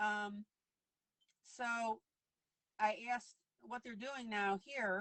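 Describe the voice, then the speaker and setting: At a very slow pace, a woman talks in a medium pitch with fairly even intonation. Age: 60s. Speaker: online coloring teacher. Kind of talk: casual chat. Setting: live video stream.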